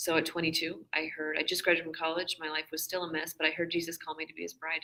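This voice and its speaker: A woman talks at a very fast pace in a very deep, low voice with vocal fry. Her intonation is monotone and flat, though her loudness swings a lot. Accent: American. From Washington state, US. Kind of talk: casual interview. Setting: conference booth, live stream.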